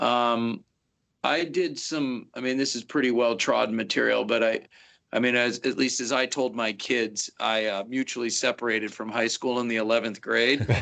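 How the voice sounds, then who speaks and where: A man speaks with a Pacific Northwest accent, his tone bright and sharp and his intonation fairly even. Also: medium pitch for a man, moderate pace. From US Pacific Northwest, Seattle. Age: 50s. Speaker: fire officer, instructor. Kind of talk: interview.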